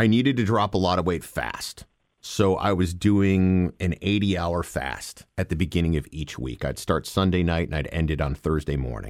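A man with a very deep, low pitch and lively intonation speaks with hardly any pauses on a very clean recording with a silent background. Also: moderate pace. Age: 40s. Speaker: voiceover artist. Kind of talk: casual chat.

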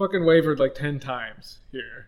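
A man speaks at a moderate pace with ordinary pitch variation. He has a normal speaking voice. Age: 20s. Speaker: YouTuber, guest. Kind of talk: casual chat.

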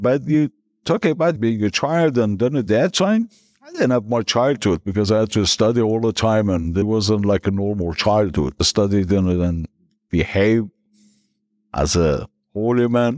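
Speaking with a Persian accent at a moderate pace, a man has a fairly low pitch and very even loudness, in a very clean recording with a silent background and a dry, close sound with no echo. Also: lively intonation. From northern Iran. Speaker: guest sharing conversion story. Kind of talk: interview telling personal testimony.

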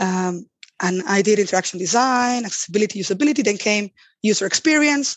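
A woman speaks with a Spanish accent at a medium pitch. Her pace is fairly quick. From Spain. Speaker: accessibility designer. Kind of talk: interview.

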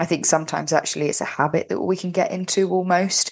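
Speaking with a London accent, a woman moves at a fairly quick pace. Her intonation stays fairly even against a quiet background. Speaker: podcast co-host. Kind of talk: casual chat.

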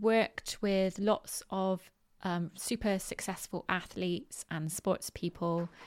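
A woman speaks in a monotone with flat intonation. The recording is very clean and the background silent. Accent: West Country. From Bristol, southwest England. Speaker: podcast host. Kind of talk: solo podcast talk on positive mindset. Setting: home recording with dogs. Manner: informal, filler words, chatty.

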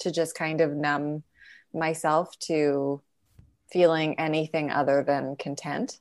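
A woman with a western Canadian accent speaks very slowly in a very deep, low voice, her intonation flat and monotone, on a very clean recording with a silent background. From Canada, Calgary. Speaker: comedian and writer. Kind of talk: casual chat.

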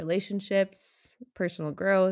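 A woman with an American accent talks at a fairly slow pace and a medium pitch, recorded very cleanly against a silent background. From US Midwest, Minnesota. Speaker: podcast host, cross-country ski racer. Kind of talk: scripted narration.

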